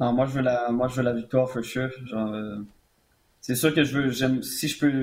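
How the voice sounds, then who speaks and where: Monotone, with flat intonation, a man speaks at a fairly slow pace and medium pitch. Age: 20s. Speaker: mixed martial arts fighter. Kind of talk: interview.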